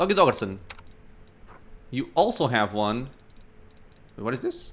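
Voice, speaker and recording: Speaking at a moderate pace with a non-native accent, a man at a medium pitch makes very wide pitch swings. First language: not English. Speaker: gaming YouTuber. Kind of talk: let's play commentary. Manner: casual, thinking aloud.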